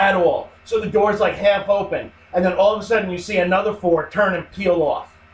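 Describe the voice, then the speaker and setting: A man's high-pitched, fairly quick delivery with hardly any pauses, fairly even intonation and noticeable background noise. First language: not English. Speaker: podcast co-host. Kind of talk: casual chat.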